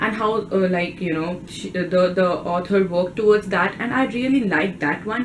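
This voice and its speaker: There is noticeable background noise behind this recording. A woman with an Indian accent talks at a moderate pace with ordinary pitch variation. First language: Hindi. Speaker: book vlogger. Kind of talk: casual vlog talk.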